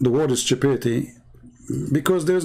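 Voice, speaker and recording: The man's tone is dark and mellow, and his intonation is lively. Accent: Arabic. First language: Arabic. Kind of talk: commentary on debate video.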